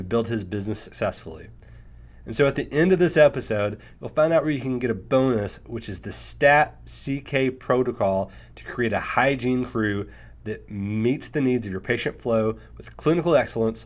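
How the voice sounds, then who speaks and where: This man speaks with an Arkansas accent at a medium pitch, his intonation lively and his loudness swinging widely. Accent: Arkansas drawl. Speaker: podcast host, accountant. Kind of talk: podcast interview.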